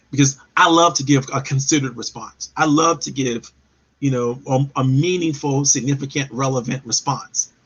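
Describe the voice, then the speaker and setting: A man speaks in a normal speaking voice, fairly high in pitch. His intonation is fairly even and his pace moderate. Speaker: live show host and professional development speaker. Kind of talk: live webinar talk.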